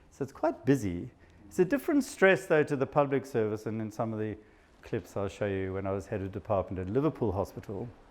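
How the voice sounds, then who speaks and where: A man in a South African accent speaks at a very fast pace with lively intonation. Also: medium pitch for a man. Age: 50s. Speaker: psychiatrist. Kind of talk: talk to an audience.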